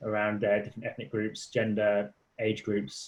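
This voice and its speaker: A somewhat breathy man talks at a fairly quick pace in a British accent. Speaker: charity policy director presenting a website. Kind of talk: online tutorial walkthrough. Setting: online session. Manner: halting, many repetitions and fillers; fast.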